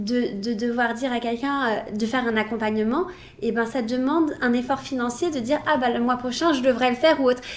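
A woman with a high pitch and ordinary pitch variation talks at a fairly quick pace. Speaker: brow specialist. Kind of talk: casual chat.

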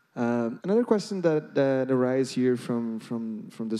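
A man speaks in a Brazilian accent at a moderate pace and medium pitch. His tone is dark and mellow, with very wide pitch swings. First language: Portuguese. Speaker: interviewer, education executive. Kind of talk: interview.

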